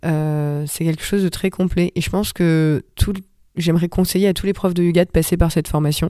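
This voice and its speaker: Fairly low for a woman, her voice holds a monotone, flat intonation at a moderate pace. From Paris suburbs, France. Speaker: yoga teacher and former lawyer. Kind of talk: casual interview.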